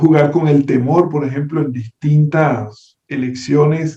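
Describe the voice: A man's slow, fairly high voice with a Venezuelan accent, dark and mellow in tone with a slightly husky edge and fairly even intonation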